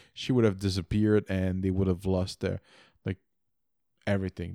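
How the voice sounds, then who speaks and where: Dry and close with no echo, this very clean recording with a silent background captures a man with a slight French-Canadian accent. His pitch is fairly low and his tone dark and mellow. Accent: mild French-Canadian-accented English. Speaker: podcast co-host. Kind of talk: casual chat. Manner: halting, many repeated words.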